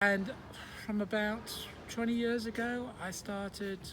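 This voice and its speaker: A man in a British accent talks at a very slow pace. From UK. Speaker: civil engineer and local resident. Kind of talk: interview testimony. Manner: halting, with fillers.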